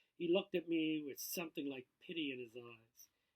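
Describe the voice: Talking at a moderate pace, a man uses a fairly high pitch with ordinary pitch variation.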